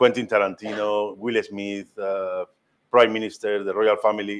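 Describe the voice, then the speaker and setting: A man's fairly low voice at a moderate pace, monotone and flat, with a strong Spanish accent. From Spain, Madrid. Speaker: master ham carver. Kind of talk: cooking demonstration talk. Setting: cooking school demonstration with live audience. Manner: halting, with many fillers.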